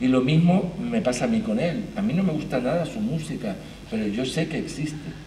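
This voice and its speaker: A man speaks at a fairly slow pace with a fairly high pitch and lively intonation, with audible room echo and noticeable background noise. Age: 60s. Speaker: theatre arts manager. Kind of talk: panel talk.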